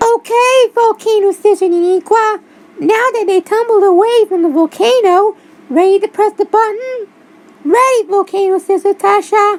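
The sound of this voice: Squeaky and extremely high-pitched, a woman does a cartoonish character voice at a moderate pace with ordinary pitch variation.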